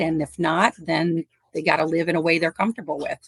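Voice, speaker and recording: A woman with an American accent talks at a fairly quick pace in a plain, everyday voice. Her pitch is fairly low, and the sound is dry and close with no echo. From US Midwest, northwest Indiana. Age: 50s. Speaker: animal rescuer. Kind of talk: casual interview.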